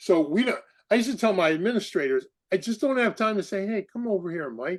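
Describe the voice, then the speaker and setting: Over a quiet background, a man talks at a high pitch with lively intonation. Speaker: podcast host, former basketball coach. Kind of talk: casual interview chat. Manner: loud; animated.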